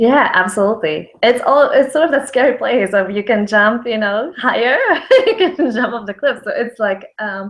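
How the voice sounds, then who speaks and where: The speaker has a Polish accent and talks at a moderate pace with lively intonation. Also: woman, high pitch for a woman. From Poland. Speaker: brand consultant, business founder. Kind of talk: interview on a video call. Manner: hesitant, many fillers.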